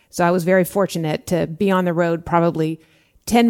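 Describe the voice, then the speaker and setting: On a very clean recording with a silent background, a woman with an unremarkable speaking voice talks at a moderate pace, fairly low in pitch with fairly even intonation. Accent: American. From Southern California, Orange County. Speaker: former FBI agent. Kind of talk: interview.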